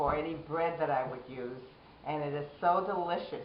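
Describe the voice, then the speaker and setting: A woman's very deep, low voice at a moderate pace, fairly even in intonation, with noticeable background noise and audible room echo. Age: 70s. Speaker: diabetes patient. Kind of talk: interview testimony.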